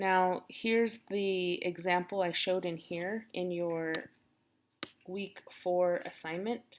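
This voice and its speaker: Fairly low in pitch, a woman with an ordinary speaking voice talks with ordinary pitch variation. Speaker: teacher. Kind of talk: recorded lesson tutorial.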